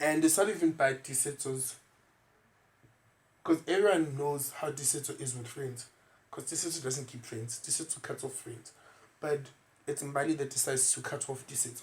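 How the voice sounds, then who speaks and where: Speaking at a moderate pace with a South African accent, a man with a fairly high pitch uses fairly even intonation, big swings in loudness and long, frequent pauses. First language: isiZulu. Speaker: podcast host. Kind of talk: casual chat.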